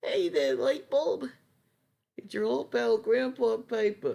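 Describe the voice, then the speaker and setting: At a fairly slow speed, the speaker performs in a put-on character voice. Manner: friendly, folksy.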